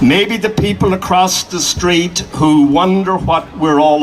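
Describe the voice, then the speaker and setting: A man with an American accent speaks at a very slow pace with ordinary pitch variation. Crowd noise and audible room echo are in the background. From Ireland. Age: 70s. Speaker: activist. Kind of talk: public speech.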